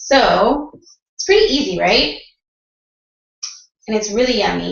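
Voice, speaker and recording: A moderate pace in a slight Canadian accent, with audible room echo. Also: woman. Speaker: mom vlogger. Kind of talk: casual tutorial. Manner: casual, chatty.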